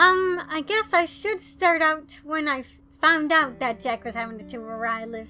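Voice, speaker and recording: Over music in the background, a woman uses a raised, projected voice with very wide pitch swings. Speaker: YouTuber. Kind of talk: storytime talk to camera.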